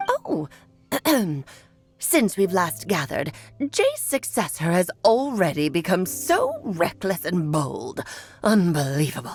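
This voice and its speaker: Using a put-on character voice at a medium pitch, a woman speaks at a fairly slow pace with long, frequent pauses while faint music plays in the background. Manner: imitating an old woman's way of talking.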